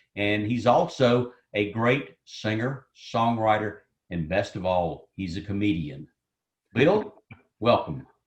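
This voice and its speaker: A man speaks at a very slow pace with lively intonation. His voice is fairly low and somewhat breathy. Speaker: event host interviewer. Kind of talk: interview. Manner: radio DJ style.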